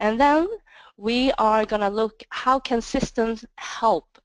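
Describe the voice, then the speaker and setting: Speaking with a non-native accent at a very slow pace, a woman has a fairly high pitch and ordinary pitch variation, in a dry, close sound with no echo. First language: not English. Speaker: sales manager presenting. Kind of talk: webinar presentation. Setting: webinar.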